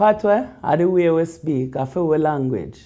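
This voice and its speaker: This woman's voice has a dark, mellow tone and moves through very wide pitch swings. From Toronto, Canada. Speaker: reggae DJ. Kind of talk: interview answer. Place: office.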